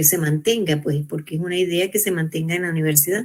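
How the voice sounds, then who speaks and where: The pitch variation in this woman's voice is ordinary. There is noticeable noise in the background. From Venezuela. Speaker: researcher and university educator. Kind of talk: panel talk. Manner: hesitant, with false starts.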